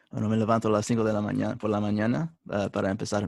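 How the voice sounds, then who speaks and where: This man speaks at a fairly low pitch with an English accent. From United States. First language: English (speaking Spanish). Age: 20s. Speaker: religious brother, seminarian. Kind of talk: interview. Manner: halting, many hesitations.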